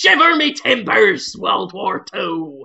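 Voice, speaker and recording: The speaker uses a put-on character voice. The delivery is fairly slow. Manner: mocking, exaggerated.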